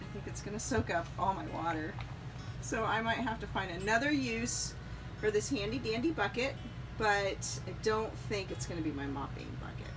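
At a moderate pace, a woman talks over music playing in the background. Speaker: RV traveler vlogger. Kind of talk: casual vlog chat. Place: home room. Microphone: phone near.

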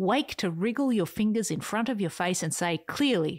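On a very clean recording with a silent background, a woman with a medium pitch speaks in an animated, playful tone with lively intonation. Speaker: podcast host. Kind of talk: scripted audio reading of a written essay, turning into a pep talk. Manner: animated, playful, whimsical; urgent, rousing, emphatic pep-talk delivery with dramatic bursts and soft intimate asides.

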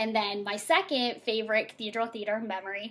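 Her pitch is fairly high and her intonation fairly even. The woman keeps a moderate pace. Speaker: elementary teacher. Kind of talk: awards presentation. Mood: warm, cheerful. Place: home room. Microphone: webcam.

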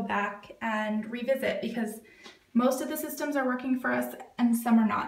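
A woman talks at a moderate pace with ordinary pitch variation. Audible room echo fills the recording. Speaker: home organizing vlogger. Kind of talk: casual vlog chat. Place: bathroom. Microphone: phone near.

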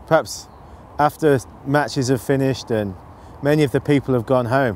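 A man at a moderate pace with ordinary pitch variation, in a dry sound with no echo and light background noise. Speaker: presenter. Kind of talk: interview answer. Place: waterside.

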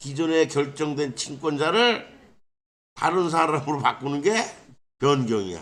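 Pausing long and often, a man with a fairly high voice talks at a very slow pace with lively intonation. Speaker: legal scrivener. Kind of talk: informal legal explainer. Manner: casual, rhetorical questions.

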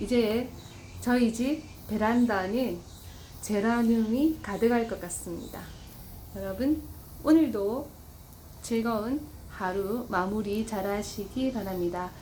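Over noticeable background noise, a woman with a Busan accent speaks very slowly in a fairly high voice with ordinary pitch variation, taking long, frequent pauses. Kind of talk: casual home gardening vlog talk. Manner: shy, hesitant.

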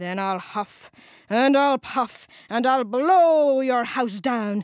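A woman's put-on character voice, growling and menacing, high-pitched, at a very slow pace. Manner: snarling, menacing.

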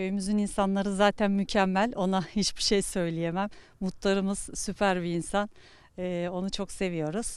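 Her intonation stays monotone and flat. The woman keeps a moderate pace. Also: medium pitch for a woman, very clean recording, silent background. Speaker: retiree. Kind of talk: street interview. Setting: outdoors. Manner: halting.

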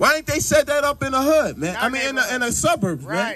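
Over music in the background, a man speaks loud in an animated tone. His pitch swings very widely. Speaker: street preacher. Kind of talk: street preaching. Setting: outdoors. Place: open country.

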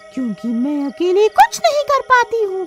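A put-on character voice that sounds female carries the clip. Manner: scheming, menacing.

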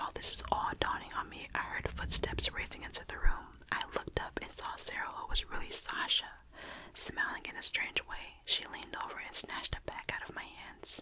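A woman whispers at a moderate pace. Her loudness swings widely over noticeable background noise. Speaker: storyteller. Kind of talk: scary story narration. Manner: close ASMR whisper, storytelling. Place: home room. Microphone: studio mic.

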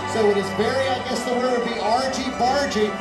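A man at a fairly quick pace over loud music in the background. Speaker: race announcer. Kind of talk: commentary. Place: street.

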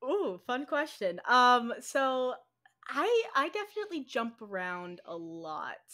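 Against a quiet background, a raised, projected voice with a bright, sharp tone moves at a very slow pace, with very wide pitch swings and big swings in loudness. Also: woman, high pitch for a woman. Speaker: podcast host. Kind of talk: casual interview chat. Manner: talkative. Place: home room. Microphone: video call.

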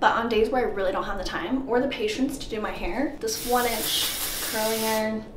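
A woman speaks over noticeable background noise. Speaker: fitness vlogger. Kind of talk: casual vlog chat. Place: bathroom. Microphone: camera far.

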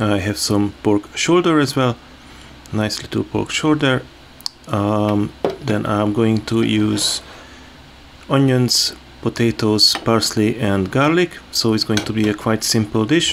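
Over light background noise, a man speaks very slowly with long, frequent pauses. His voice is fairly low with ordinary pitch variation. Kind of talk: cooking tutorial. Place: kitchen. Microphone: phone near.

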